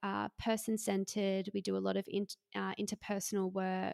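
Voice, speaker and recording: A woman with an Australian accent at a moderate pace, in a dry, close sound with no echo, on a very clean recording with a silent background. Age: 20s. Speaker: psychotherapist. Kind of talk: interview.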